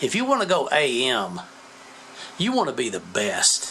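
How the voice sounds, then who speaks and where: Pitch swings very widely throughout. There is noticeable background noise. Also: man. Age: 70s. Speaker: ham radio operator and amp builder. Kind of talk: casual tutorial. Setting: basement workshop. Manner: conversational with hesitations.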